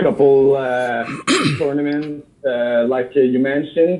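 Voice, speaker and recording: A man with a French accent, over noticeable background noise. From Quebec, Canada. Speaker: Zamboni driver and angler. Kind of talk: casual chat. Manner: halting, many fillers.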